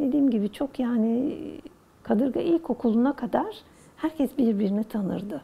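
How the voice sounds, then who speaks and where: A woman with a fairly high pitch. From Istanbul, Turkey. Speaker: oral history interviewee. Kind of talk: interview answer, reminiscing.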